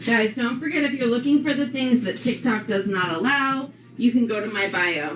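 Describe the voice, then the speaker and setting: With an American accent, a woman talks at a moderate pace in a high pitch with lively intonation. Audible room echo and noticeable background noise surround her voice. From New York, Long Island. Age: 40s. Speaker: live streamer. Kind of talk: casual live-stream chat. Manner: loud; chatty, with fillers.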